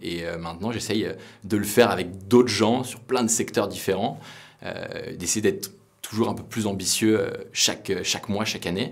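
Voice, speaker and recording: There is audible room echo as a man with a fairly low pitch talks at a moderate pace with fairly even intonation. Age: 20s. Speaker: startup founder. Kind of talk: interview monologue. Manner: hesitant, many fillers.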